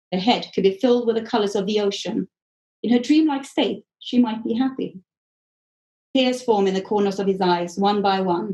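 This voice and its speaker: Her medium-pitched voice has a dark, mellow tone as this woman talks at a moderate pace. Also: ordinary pitch variation. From Sweden. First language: Swedish. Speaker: author. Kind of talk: author reading from own novel.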